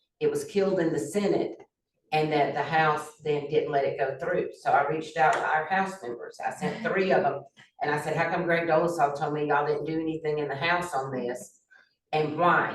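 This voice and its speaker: A woman's very deep, low voice with a Southern US accent, ordinary pitch variation, a moderate pace and audible room echo. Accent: Southern US (Georgia). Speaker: former county commissioner. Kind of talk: community meeting discussion. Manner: loud.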